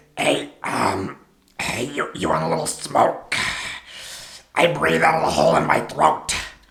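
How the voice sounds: Using a put-on character voice, a man talks at a moderate pace with a fairly low pitch.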